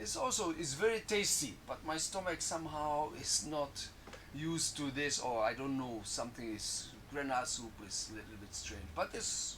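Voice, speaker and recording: Audible room echo surrounds a man speaking at a moderate pace with a fairly high pitch and lively intonation. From Poland. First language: Polish. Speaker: drumming student. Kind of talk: casual interview. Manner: halting.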